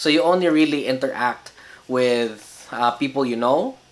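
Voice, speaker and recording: Behind the speaker, noticeable background noise is present. He is a man talking at a medium pitch. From Philippines. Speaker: vlogger. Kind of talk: casual vlog talk. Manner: hesitant, many fillers.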